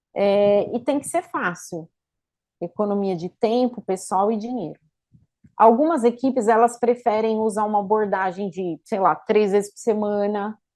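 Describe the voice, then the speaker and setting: At a fairly slow pace, a woman with a medium pitch and a dark, mellow tone speaks with ordinary pitch variation. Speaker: lecturer on infection control. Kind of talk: lecture. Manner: halting, many fillers.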